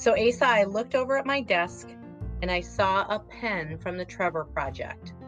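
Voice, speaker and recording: Music plays in the background as a woman speaks with a Wisconsin accent. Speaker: podcast guest, author.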